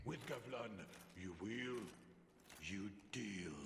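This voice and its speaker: Amid clear background noise and a slight echo, a man uses a put-on character voice at a fairly low pitch. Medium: video game. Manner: speaks of himself in third person, broken grammar; greedy, chuckling.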